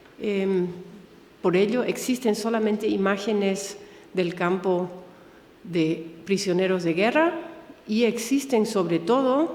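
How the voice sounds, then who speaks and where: With a German accent, a woman speaks very slowly at a medium pitch, with ordinary pitch variation and long, frequent pauses. Noticeable background noise and audible room echo fill the recording. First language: German (speaking Spanish). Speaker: museum director, Holocaust educator. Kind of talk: lecture. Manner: halting.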